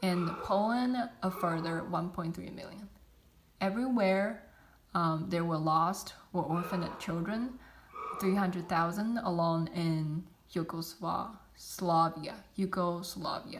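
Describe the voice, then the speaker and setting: In a non-native accent, the speaker talks at a very slow pace with ordinary pitch variation, audible room echo and noticeable background noise. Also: woman, fairly low pitch for a woman. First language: not English. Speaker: student. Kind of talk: class presentation. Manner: halting, many fillers.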